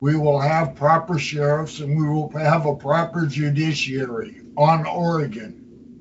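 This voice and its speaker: At a very slow pace, a somewhat breathy man speaks with fairly even intonation. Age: 80s+. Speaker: citizens' assembly leader. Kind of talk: meeting talk. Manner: vehement.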